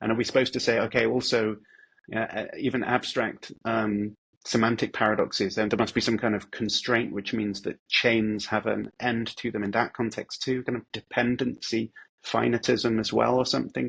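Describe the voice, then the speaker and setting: A man with a British accent, medium pitch and vocal fry, monotone, flat intonation, and a moderate pace. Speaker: philosopher. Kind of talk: casual explanatory interview.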